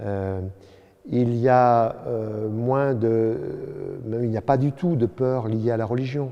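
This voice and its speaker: A man at a very slow pace, with fairly even intonation. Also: medium pitch for a man. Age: 70s. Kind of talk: interview.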